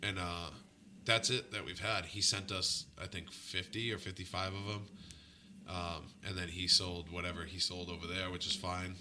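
This man's pitch is very deep and low, yet his tone is bright and sharp. His intonation stays monotone and flat. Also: moderate pace. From Boston area, Massachusetts. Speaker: punk band front-man and musician. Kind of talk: casual chat interview.

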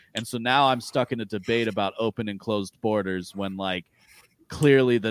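A man speaks fairly quickly with fairly even intonation in a plain, everyday voice. The recording is very clean, with a silent background. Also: dry, close sound with no echo. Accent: American. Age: 30s. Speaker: podcast guest discussing philosophy and libertarianism. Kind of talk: casual chat.

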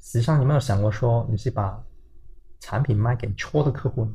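Speaking at a moderate pace and medium pitch, a man has a dark, mellow, somewhat breathy tone with ordinary pitch variation. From Hong Kong. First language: Cantonese (speaking Chinese). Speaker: tech startup founder and CEO. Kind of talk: interview. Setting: company office.

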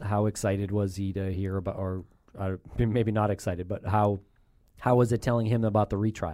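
In a very clean recording with a silent background, a man speaks at a moderate pace. His fairly low voice stays monotone and flat. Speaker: podcast host. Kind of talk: interview. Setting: studio.

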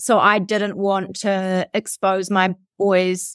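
In a very clean recording with a silent background, a woman with a New Zealand accent speaks at a medium pitch, the sound dry and close with no echo. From New Zealand, South Canterbury. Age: 30s. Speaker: radio and TV presenter. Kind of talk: casual interview chat.

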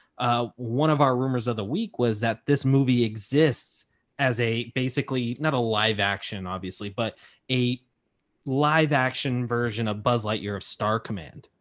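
The pitch varies in an ordinary way in an unremarkable speaking voice. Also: man, medium pitch for a man, moderate pace, quiet background. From California. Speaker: entertainment news podcaster. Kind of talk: casual chat.

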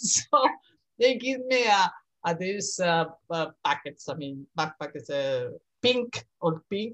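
A woman with vocal fry speaks at a fairly slow pace, her pitch swinging very widely. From Spain, Madrid. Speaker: university professor, art historian. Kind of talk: casual interview. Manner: halting, laughs often.

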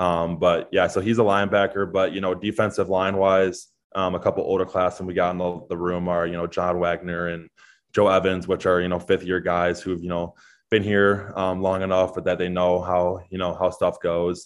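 In an American accent, a man with a very deep, low pitch speaks at a moderate pace in a monotone, flat intonation. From Chicago area, US Midwest. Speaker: college football player. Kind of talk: interview.

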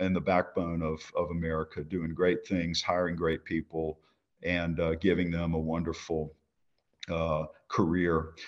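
A man with a Louisiana accent speaks at a moderate pace in a very deep, low voice against a quiet background. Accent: US South (Louisiana). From Louisiana, Baton Rouge. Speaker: company CEO. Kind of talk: interview. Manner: halting, many fillers.

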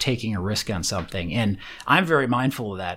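With lively intonation and a fairly quick pace, a man talks in an unremarkable speaking voice on a very clean recording over a silent background. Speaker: tech entrepreneur and angel investor. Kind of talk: interview.

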